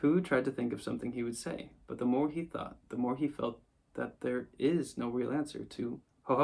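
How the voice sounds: Pitch shifts in an ordinary way as someone reads in a natural voice.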